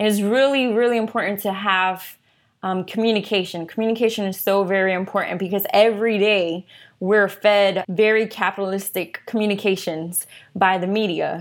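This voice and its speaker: A woman with an American accent has a normal speaking voice at medium pitch. Her pace is moderate, her intonation fairly even, and the recording very clean with a silent background. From US, North Philadelphia. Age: 30s. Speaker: activist and technologist. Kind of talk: casual interview.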